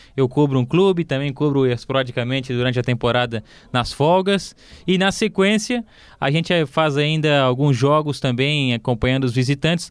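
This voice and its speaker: This is an ordinary speaking voice at a moderate pace, with ordinary pitch variation and very even loudness. The background is quiet. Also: man, fairly high pitch for a man. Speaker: sports journalist, club beat reporter. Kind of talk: casual football podcast chat.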